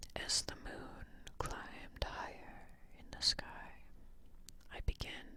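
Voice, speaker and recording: Someone whispers at a very slow pace. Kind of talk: ASMR whispered story reading. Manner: whispered, soft.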